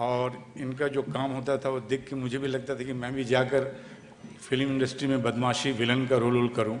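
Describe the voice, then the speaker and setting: The speaker talks at a moderate pace in a monotone, flat intonation. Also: man. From Kolkata, West Bengal, India. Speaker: film actor. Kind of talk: speech at an event.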